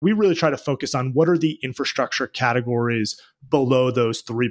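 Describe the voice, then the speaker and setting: A man with an ordinary speaking voice talks at a fairly quick pace and a medium pitch, showing ordinary pitch variation, with a dry, close sound and no echo. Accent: American. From Boston, US. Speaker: venture capital investor. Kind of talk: interview.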